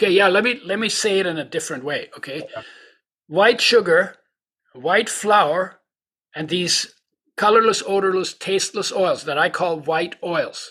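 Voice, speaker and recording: On a very clean recording with a silent background, a man speaks in a raised, projected voice, his tone bright and sharp and his pitch high, moving at a moderate pace with long, frequent pauses. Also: ordinary pitch variation. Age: 80s. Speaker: nutritionist and oil company founder. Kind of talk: casual interview.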